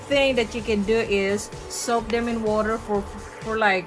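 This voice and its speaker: A woman's fairly slow voice with fairly even intonation, noticeable background noise behind it. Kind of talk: cooking tutorial. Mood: warm, chatty, nostalgic. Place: kitchen.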